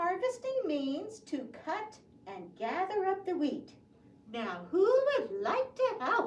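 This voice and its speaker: In a cartoonish character voice, a female-sounding speaker talks at an extremely high pitch with very wide pitch swings and a fairly slow pace. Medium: puppet show. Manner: cheerful, clear, storytelling for preschoolers.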